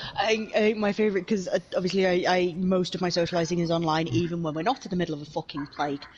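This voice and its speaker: Over noticeable background noise, a woman with a fairly low pitch speaks very fast with hardly any pauses and ordinary pitch variation. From Wales. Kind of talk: casual chat. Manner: animated.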